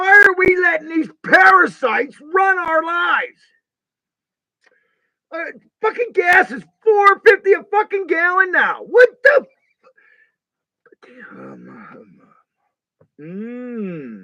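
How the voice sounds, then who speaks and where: A man's raised, projected voice at extremely high pitch, very slow, with lively intonation, big swings in loudness and long, frequent pauses. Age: 50s. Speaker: carpenter. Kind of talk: casual talk to camera.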